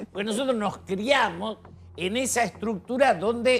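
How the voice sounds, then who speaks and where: At a moderate pace, a man speaks with music in the background. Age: 70s. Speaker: TV panel guest. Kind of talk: TV panel debate.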